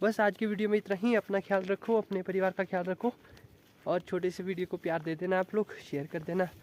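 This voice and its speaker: A man's high-pitched voice, fairly even in intonation, at a moderate pace, in a dry, close sound with no echo. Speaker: vlogger. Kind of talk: casual vlog talk. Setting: outdoors in forest.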